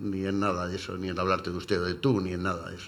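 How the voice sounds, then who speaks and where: A man's voice with audible room echo. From Cartagena, Spain. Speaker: retired English teacher. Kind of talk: radio panel discussion. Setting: radio studio.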